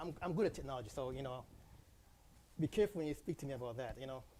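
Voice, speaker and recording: Soft-spoken and very fast, a man talks at a fairly high pitch with a dark, mellow tone and ordinary pitch variation. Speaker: city council member. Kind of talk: council meeting discussion.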